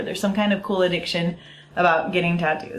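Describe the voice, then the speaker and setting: A woman's fairly low-pitched voice over noticeable background noise. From US. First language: Italian. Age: 30s. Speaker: vlogger. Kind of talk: casual vlog talk. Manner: animated.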